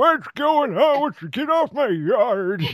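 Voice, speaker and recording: A man puts on a character voice pitched extremely high. He delivers it at a fairly slow pace. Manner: grumpy, irritable.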